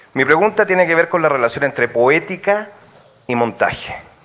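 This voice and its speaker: Noticeable background noise sits behind a man speaking at a fairly quick pace with lively intonation. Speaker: audience member asking a question. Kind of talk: academic Q&A question. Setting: auditorium with audience. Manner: fast.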